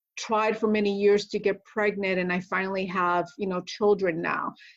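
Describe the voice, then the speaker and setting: This woman has an ordinary speaking voice at a medium pitch. Her intonation stays fairly even. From Connecticut, US East Coast (born Puerto Rico). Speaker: retired military officer and nurse practitioner. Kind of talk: podcast interview.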